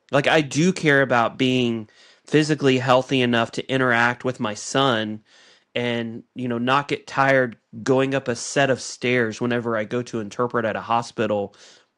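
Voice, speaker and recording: Against a quiet background, a man with an ordinary speaking voice talks at medium pitch and a moderate pace with fairly even intonation. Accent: American. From United States. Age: 40s. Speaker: podcast co-host. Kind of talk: casual chat.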